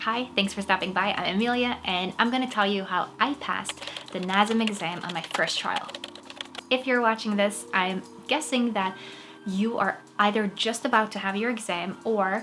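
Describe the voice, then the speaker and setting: Noticeable background noise runs under a woman's voice. She speaks at a moderate pace and medium pitch with fairly even intonation. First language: Norwegian. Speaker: actress and fitness vlogger. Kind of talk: tutorial. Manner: casual.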